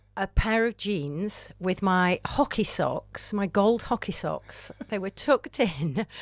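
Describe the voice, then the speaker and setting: In a Lancashire accent, a woman speaks at a medium pitch with lively intonation. The recording is very clean, with a silent background. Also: dry, close sound with no echo. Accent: northern English (Lancashire). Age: 60s. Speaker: amateur climber. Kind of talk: interview podcast. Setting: podcast studio. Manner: animated.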